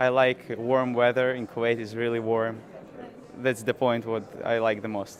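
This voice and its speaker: Through noticeable background noise, a man speaks fairly slowly in a medium, monotone voice with flat intonation. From Ukraine. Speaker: student. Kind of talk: interview. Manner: halting.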